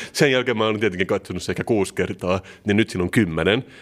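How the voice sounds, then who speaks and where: A man talking at a very fast pace, his pitch fairly low, in a very clean recording with a silent background. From Turku, southwest Finland. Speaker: podcast co-host. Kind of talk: casual chat.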